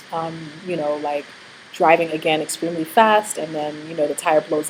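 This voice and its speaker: Over noticeable background noise, a woman speaks in a fairly low pitch. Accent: American. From New York. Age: 30s. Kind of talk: casual vlog talk. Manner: fast; hesitant with fillers.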